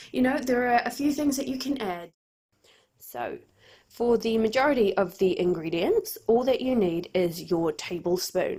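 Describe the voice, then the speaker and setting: With a New Zealand accent, a woman speaks at a moderate pace in a fairly high voice. Her tone is dark and mellow, with very wide pitch swings. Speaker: church volunteer presenting a cooking video for children. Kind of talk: tutorial.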